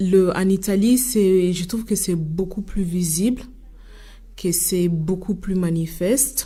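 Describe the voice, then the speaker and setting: Very slowly, a woman speaks in a fairly low pitch with a dark, mellow tone and ordinary pitch variation. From Italy. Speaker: association leader. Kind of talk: radio debate interview. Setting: studio. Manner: halting, many hesitations.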